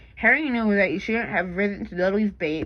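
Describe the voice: The clip is plain reading aloud. It is read out plainly throughout.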